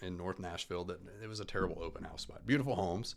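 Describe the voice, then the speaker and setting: With a Southern US accent, a man talks at a very fast pace. His pitch is fairly low, with ordinary pitch variation. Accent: Southern twang. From Alabama. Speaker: real estate agent. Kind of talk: casual chat. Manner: loud.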